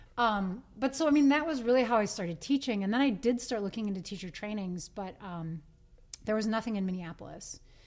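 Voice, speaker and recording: A woman with an American accent has a normal speaking voice at a fairly high pitch. She talks fairly quickly with lively intonation. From US Midwest, Green Bay, Wisconsin. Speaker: yoga studio owner and teacher. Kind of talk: casual interview.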